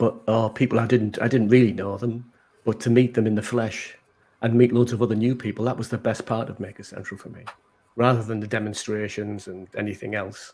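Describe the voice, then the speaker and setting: Delivered in a Teesside accent, the speech moves at a fairly quick pace. The intonation is monotone and flat, while the loudness swings a lot. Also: man, medium pitch for a man. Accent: Middlesbrough (Teesside) accent, recognisable. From northern England, Middlesbrough. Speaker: maker. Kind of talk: casual chat.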